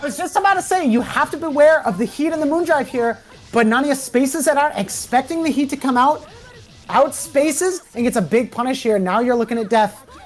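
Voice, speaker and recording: Music plays behind a woman speaking at a high pitch. Her pace is fairly quick and her intonation lively. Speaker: fighting game commentator. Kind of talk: live commentary. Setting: livestream. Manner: fast; animated.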